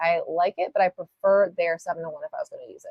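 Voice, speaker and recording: A woman talks at a fairly quick pace. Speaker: nail art tutorial livestreamer. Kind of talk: live tutorial. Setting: livestream. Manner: casual and chatty; halting with filler words.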